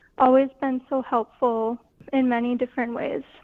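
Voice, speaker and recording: A woman with an Upper Midwest accent, high pitch, fairly even intonation and a fairly slow pace. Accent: Upper Midwest (Minnesota). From northwest Minnesota. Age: young. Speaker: art student. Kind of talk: radio interview. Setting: phone call.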